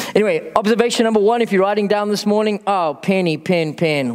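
A man's high-pitched voice at a moderate pace, very even in loudness with hardly any pauses, against noticeable background noise. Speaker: pastor. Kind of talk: sermon.

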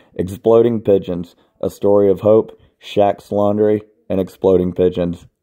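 The intonation stays fairly even as an unforced reading voice comes through over a quiet background.

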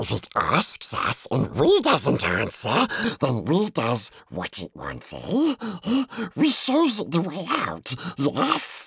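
Put on as a character voice, the speech comes very slowly with a hissing sound. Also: man, high pitch for a man. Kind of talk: audiobook reading. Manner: whispered, hissing.

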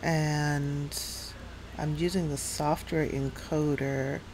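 A woman with an American accent speaks very slowly at a very deep, low pitch. Her intonation is monotone and flat, with light background noise. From New York City area. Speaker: gaming streamer. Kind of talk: live game stream commentary. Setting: home streaming setup with USB microphone. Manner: casual, chatty with filler words. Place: home room. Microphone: headset.

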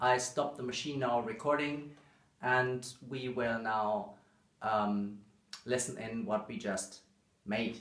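The man's fairly bright, medium-pitched voice moves slowly with little pitch movement, set in strong room echo.

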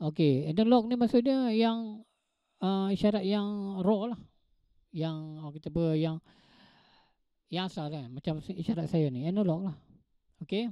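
Over a quiet background, a man with a Malaysian accent talks at a fairly slow pace with long, frequent pauses, the sound dry with no echo. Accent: Malaysian Malay. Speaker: lecturer. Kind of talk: online lecture. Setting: online class with audio interface. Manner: hesitant, filler-heavy, teacherly. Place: home room. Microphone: handheld.

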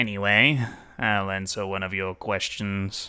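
In a put-on character voice, a man speaks at a fairly low pitch. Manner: mocking, flippant.

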